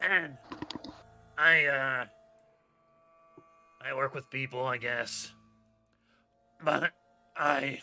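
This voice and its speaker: In a raspy, put-on character voice of medium pitch, a man speaks very slowly with long, frequent pauses. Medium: actual play. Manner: halting, mumbling, glum.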